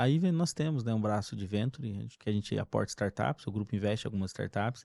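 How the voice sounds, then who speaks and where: A man with a slight mineiro accent speaks fairly quickly in a fairly low, dark, mellow voice with lively intonation, on a very clean recording with a silent background and a dry, close sound with no echo. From Brazil, interior of Minas Gerais. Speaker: company executive. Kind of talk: casual chat.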